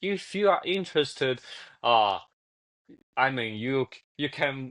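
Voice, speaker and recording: The speaker has a Chinese accent and lively intonation. The background is quiet. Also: man. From China. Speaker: cultural explainer guest. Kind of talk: casual chat. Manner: halting, many restarts and fillers.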